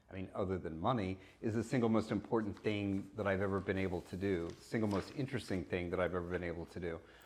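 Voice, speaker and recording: A man's very deep, low voice with an American accent, fairly even intonation and a very fast pace. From US Midwest, Kansas. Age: 60s. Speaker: fashion consultant. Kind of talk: interview.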